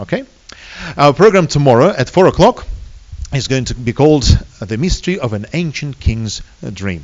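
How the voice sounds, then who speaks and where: A man with a Russian accent speaks in a fairly high voice with very wide pitch swings, leaving long, frequent pauses. Noticeable background noise runs underneath. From Soviet Union. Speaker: seminar lecturer. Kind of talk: public seminar lecture. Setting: hall with live audience. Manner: fast; hesitant with many fillers.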